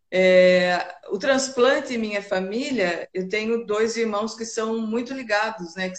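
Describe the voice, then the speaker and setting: Fairly even intonation in a normal speaking voice. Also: woman. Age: 50s. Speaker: kidney transplant patient and volunteer. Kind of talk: casual interview on a live stream. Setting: live video stream.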